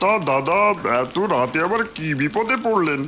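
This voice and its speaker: A man's cartoonish character voice, high-pitched with very wide pitch swings, at a moderate pace over clear background noise. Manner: smooth, reassuring.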